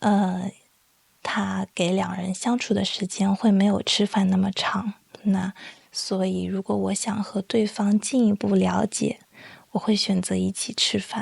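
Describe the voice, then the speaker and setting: A soft-spoken woman talks at a fairly slow pace, her voice dry and close with no echo. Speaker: Chinese language teacher and podcaster. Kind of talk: slow educational podcast monologue. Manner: soft-spoken, slow.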